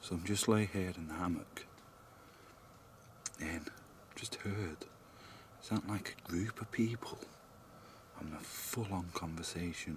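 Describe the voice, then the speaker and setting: Whispering with a British accent, a man goes at a fairly slow pace with long, frequent pauses, amid noticeable background noise. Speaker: paranormal investigator vlogger. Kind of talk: vlog narration. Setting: outdoors.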